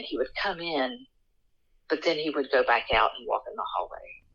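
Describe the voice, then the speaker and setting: The speaker has an Appalachian accent. The pace is fairly quick. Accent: Appalachian American. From West Virginia, Appalachia. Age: 40s. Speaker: folklore content creator and sociologist. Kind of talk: interview storytelling.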